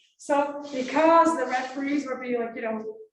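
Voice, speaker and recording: A woman with a Dutch accent speaks at a moderate pace in a high pitch, with audible room echo. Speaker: philosophy of logic academic. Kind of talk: conference talk. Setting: conference room with audience. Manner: casual, filler-heavy.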